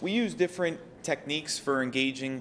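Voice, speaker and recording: A man's voice with ordinary pitch variation. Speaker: state agency quality assurance director. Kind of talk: conference presentation. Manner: fast.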